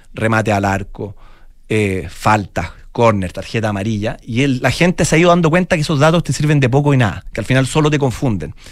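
A man speaks at a fairly quick pace with lively intonation and a medium pitch, in a plain, everyday voice. The recording is very clean, with a silent background. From Chile, Santiago. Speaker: football analytics entrepreneur. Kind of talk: interview.

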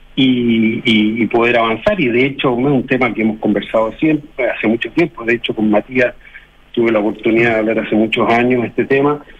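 A medium-pitched man with fairly even intonation and very even loudness, over noticeable background noise. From Chile. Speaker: community leader. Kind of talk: radio interview. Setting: phone call. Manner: halting.

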